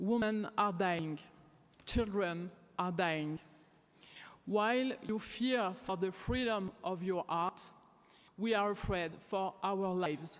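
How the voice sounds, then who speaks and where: A woman of medium pitch speaks very slowly in a French accent. She leaves long, frequent pauses, and her loudness stays very even. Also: ordinary pitch variation. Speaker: theater director and activist. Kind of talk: closing statement speech. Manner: impassioned.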